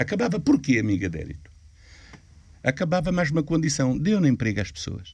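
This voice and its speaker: The voice moves at a fairly quick pace with vocal fry. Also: man. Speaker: Roma elder. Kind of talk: interview.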